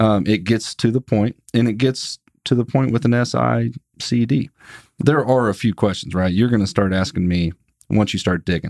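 A man with a normal speaking voice talks at a moderate pace and fairly low pitch, with ordinary pitch variation and very even loudness, in a dry, close sound with no echo and a very clean recording over a silent background. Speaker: sales podcast co-host. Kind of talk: casual chat.

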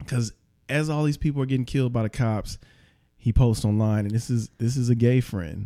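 In a very clean recording with a silent background, a man talks at a fairly quick pace. He has an ordinary speaking voice, medium pitch and ordinary pitch variation. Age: 30s. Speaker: musician and rapper. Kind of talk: casual chat.

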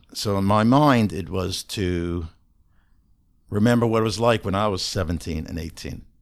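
At a moderate pace, a man with a fairly low pitch and ordinary pitch variation talks in an unremarkable speaking voice on a very clean recording with a silent background. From Canada. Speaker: ADHD coach. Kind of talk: interview conversation.

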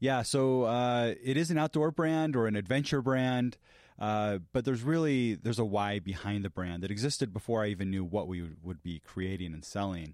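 An unremarkable speaking voice with lively intonation moves at a moderate pace with hardly any pauses, in a very clean recording with a silent background. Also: man, medium pitch for a man. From Latin America (American family abroad). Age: 40s. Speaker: company founder and CEO. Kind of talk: podcast interview. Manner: frequent fillers (uh, um), some repetitions.

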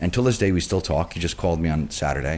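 The man's voice swings very widely in pitch on a very clean recording with a silent background. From New York City, Queens. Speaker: beverage director. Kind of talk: casual interview.

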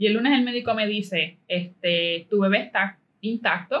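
A woman with a Puerto Rican accent speaks with ordinary pitch variation. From Puerto Rico (Caguas). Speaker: entrepreneur. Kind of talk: interview.

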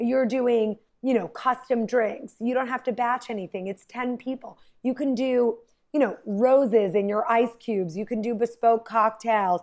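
On a very clean recording with a silent background, a woman with a fairly high pitch speaks at a moderate pace in an animated tone. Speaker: event planner. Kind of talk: casual chat.

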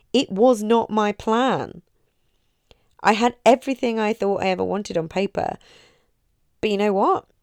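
A woman with an English accent, fairly high in pitch with ordinary pitch variation, at a moderate pace with long, frequent pauses, on a very clean recording with a silent background and a dry, close sound with no echo. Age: 30s. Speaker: mindset coach and podcast host. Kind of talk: motivational talk. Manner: warm, chatty.

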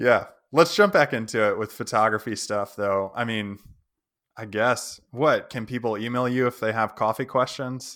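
At a moderate pace, a man with an American accent talks in an ordinary speaking voice, medium in pitch with fairly even intonation, on a very clean recording with a silent background. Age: 30s. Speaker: podcast host, landscape photographer. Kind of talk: casual interview.

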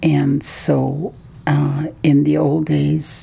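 A woman speaks over noticeable background noise. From Haida Gwaii, British Columbia, Canada. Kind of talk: interview. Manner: halting.

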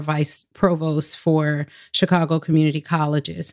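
A woman's very deep, low voice with an American accent, flat and monotone at a moderate pace, dry and close with no echo, on a very clean recording with a silent background. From US Southwest, Phoenix. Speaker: education administrator at a telecom company. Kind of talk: interview.

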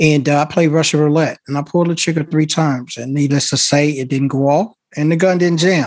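A man with an American accent has an unremarkable speaking voice, fairly high in pitch. He talks at a fairly quick pace with hardly any pauses and fairly even intonation. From Chicago. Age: 50s. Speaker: consultant and army veteran. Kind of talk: panel discussion.

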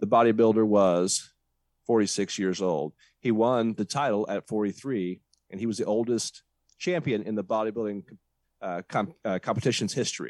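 A man with a plain, everyday voice at a fairly low pitch and ordinary pitch variation comes through dry and close with no echo on a very clean recording with a silent background. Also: moderate pace. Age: 40s. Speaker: podcast host. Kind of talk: casual chat.

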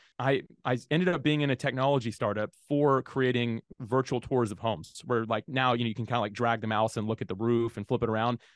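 A man with an American accent talks very fast at a medium pitch, with ordinary pitch variation. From Jacksonville, Florida, US. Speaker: podcasting software founder. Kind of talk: interview.

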